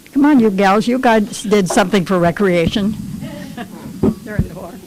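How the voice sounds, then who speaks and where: Over noticeable background noise, a woman at medium pitch speaks at a moderate pace with ordinary pitch variation and big swings in loudness. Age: 80s+. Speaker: former wartime shipyard worker. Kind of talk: casual chat.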